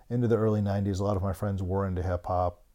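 Man with a Mid-Atlantic accent, fairly low-pitched and dark, mellow in tone, in monotone, flat intonation on a very clean recording with a silent background. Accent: American, Mid-Atlantic. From US, Maryland (Bethesda, near Washington DC). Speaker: graffiti curator and publisher. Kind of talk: casual interview chat.

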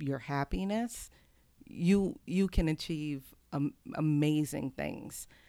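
Very slow, very deep, low-pitched speech from a woman with an American accent and ordinary pitch variation, on a very clean recording with a silent background. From Houston, Texas. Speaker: abstract painter. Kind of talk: interview conversation. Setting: in-person recording.

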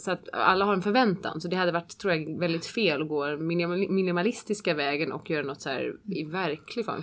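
A woman speaks in a normal speaking voice, pitched fairly low. Her pitch varies in an ordinary way, and she talks at a fairly quick pace. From Switzerland. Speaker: opera singer. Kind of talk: interview.

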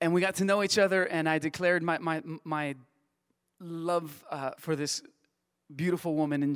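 A man with a Spanish accent talks at a moderate pace, high in pitch with ordinary pitch variation. The recording is very clean, with a silent background. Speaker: church staff member. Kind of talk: testimony. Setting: church.

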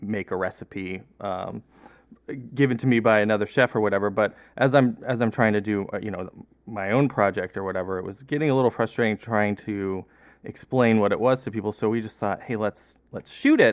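A normal speaking voice with ordinary pitch variation moves at a fairly quick pace. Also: man. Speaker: writer and director. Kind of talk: casual chat. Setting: video call.

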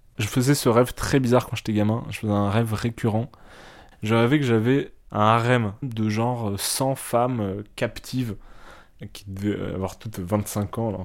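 On a very clean recording with a silent background, a man talks at a fairly slow pace in a medium pitch. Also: fairly even intonation. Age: 20s. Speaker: interviewee. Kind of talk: intimate interview. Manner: hesitant.

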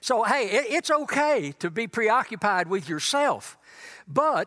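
A man's raised, projected voice in a Texan accent, bright and sharp in tone, with very wide pitch swings. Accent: Texan Southern US. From East Texas. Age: 80s+. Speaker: guest preacher. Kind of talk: sermon. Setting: church.

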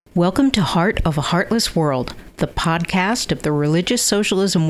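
Lively intonation from a woman with an American accent and a fairly low pitch, over noticeable background noise. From US Northeast (Connecticut). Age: old. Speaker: podcast host. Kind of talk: interview.

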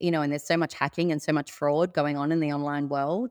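A woman with an Australian accent and a very deep, low voice talks at a very fast pace in a very clean recording with a silent background. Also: dry, close sound with no echo. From Sydney, Australia. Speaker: cybercrime victim. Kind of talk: interview.

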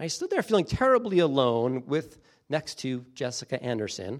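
Lively intonation marks a man's ordinary speaking voice, fairly high in pitch and moderate in pace, in a very clean recording with a silent background. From US Northeast, coastal New Jersey. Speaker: pastor. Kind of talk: sermon.

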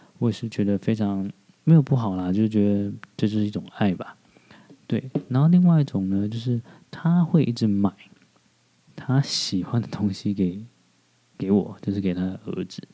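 With lively intonation and a fairly low pitch, a man speaks at a moderate pace with long, frequent pauses. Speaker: podcast host. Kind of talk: casual monologue. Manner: hesitant, many fillers.

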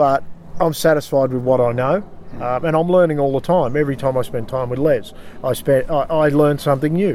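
With an Australian accent, a man talks at a fairly quick pace in a fairly high voice with a dark, mellow tone and ordinary pitch variation. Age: 40s. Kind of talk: casual interview. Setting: outdoors by a river.

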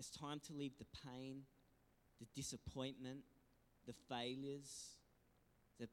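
This man speaks with an Australian accent in a fairly high pitch. His pace is very slow. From Australia, New South Wales south coast. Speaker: pastor. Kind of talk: sermon. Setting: church. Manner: animated.

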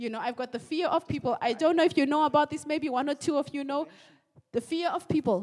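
A woman's high-pitched voice in a German accent, very fast in pace, with ordinary pitch variation. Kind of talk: sermon. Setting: church.

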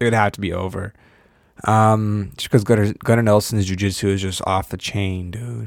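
A man's fairly low, fairly even-toned delivery in a normal speaking voice, in a very clean recording with a silent background. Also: moderate pace. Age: 20s. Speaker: podcast host. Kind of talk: casual solo commentary.

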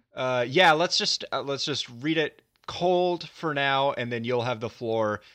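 A man with an American accent speaks at a fairly slow pace, his tone bright and sharp. His intonation is lively over a quiet background. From Virginia. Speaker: podcast host. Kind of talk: casual interview; scripted intro narration.

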